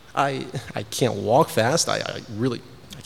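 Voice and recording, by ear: With ordinary pitch variation, someone is reading aloud in a natural voice.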